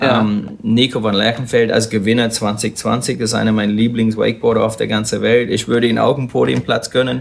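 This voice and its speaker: A man with an English accent talks at a fairly quick pace in a medium-pitched voice with vocal fry, hardly pausing at all. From Australia, Sunshine Coast. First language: English (speaking German). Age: 40s. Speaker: wakeboarder and event announcer. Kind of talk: casual chat. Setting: live at a trade fair hall. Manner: enthusiastic.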